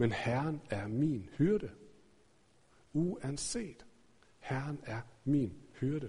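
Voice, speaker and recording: The intonation is lively. The voice is somewhat breathy. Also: man. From Denmark, Aarhus. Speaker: pastor. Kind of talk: sermon. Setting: church.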